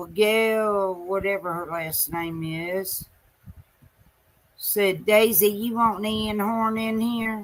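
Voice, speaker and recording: A woman speaks very slowly in a Southern US accent. Her intonation stays fairly even. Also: medium pitch for a woman. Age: 60s. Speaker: live streamer. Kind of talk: casual live-stream monologue. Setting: late night live stream.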